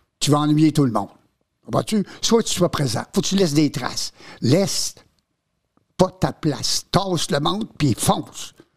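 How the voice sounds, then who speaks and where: This man's pitch is fairly high, and his voice is somewhat breathy with lively intonation and an animated tone. He leaves long, frequent pauses. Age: 80s+. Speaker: veteran entertainer and former teacher. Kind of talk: casual chat.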